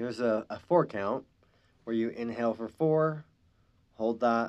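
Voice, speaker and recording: Medium in pitch, a man speaks with ordinary pitch variation. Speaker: spirit worker and shaman, podcast host. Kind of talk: guided meditation over drumming. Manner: slow, calm, soothing, instructing breath gently; hesitant, with filler words and self-corrections.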